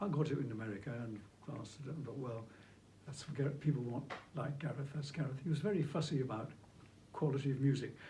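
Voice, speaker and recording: A man speaks at a very fast pace with ordinary pitch variation and long, frequent pauses. Audible room echo fills the recording. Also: fairly high pitch for a man. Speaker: flautist and movement technique teacher. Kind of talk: interview conversation.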